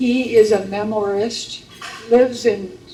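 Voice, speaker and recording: Her intonation is monotone and flat, at a medium pitch for a woman. Noticeable background noise runs under her voice. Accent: Upper Midwest. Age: 80s+. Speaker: memoir author, local historian. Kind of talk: live interview.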